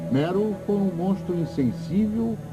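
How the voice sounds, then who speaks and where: Music plays in the background. A man's voice moves through very wide pitch swings. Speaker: dubbing narrator. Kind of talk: documentary narration.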